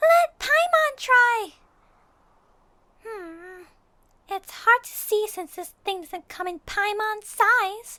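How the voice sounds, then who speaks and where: Extremely high-pitched put-on character voice at a very slow pace, with long, frequent pauses. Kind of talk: audio roleplay. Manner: excitable.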